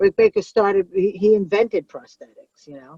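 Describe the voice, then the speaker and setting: A woman speaks with a New York accent at a fairly slow pace, her tone dark and mellow with ordinary pitch variation. The sound is dry and close, with no echo. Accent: New York (Brooklyn-like). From Long Island, New York. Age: 40s. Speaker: comedian. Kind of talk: casual chat. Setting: in a car. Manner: animated.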